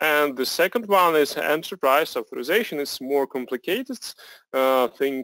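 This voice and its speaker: Speaking at a fairly slow pace in a Russian accent, a man with a fairly high pitch and ordinary pitch variation is heard in a dry, close recording with no echo, very clean with a silent background. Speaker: software product presenter. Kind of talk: product demo presentation. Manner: halting, many fillers.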